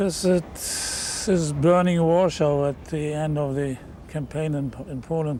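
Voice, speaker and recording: A fairly high-pitched man with a German accent and fairly even intonation, over noticeable background noise. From Germany. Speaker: war veteran. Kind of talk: interview.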